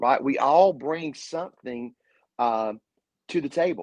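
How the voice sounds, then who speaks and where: Recorded with a dry, close sound, no echo and a quiet background, a man with an American accent has an unremarkable speaking voice, fairly high in pitch with ordinary pitch variation. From Eastern North Carolina. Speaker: pastor. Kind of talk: casual interview with preaching.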